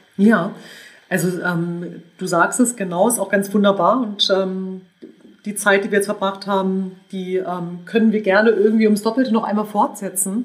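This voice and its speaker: A woman uses a normal speaking voice, keeping a moderate pace and fairly even intonation. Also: medium pitch for a woman. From northern Germany, suburb of Hannover. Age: 40s. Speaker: entrepreneur and business angel. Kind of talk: interview. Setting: in person.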